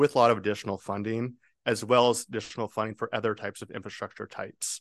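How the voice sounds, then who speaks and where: A plain, everyday voice with fairly even intonation. The sound is dry and close with no echo, and the background is quiet. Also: man. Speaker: transportation funding consultant. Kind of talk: formal presentation. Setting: public board meeting.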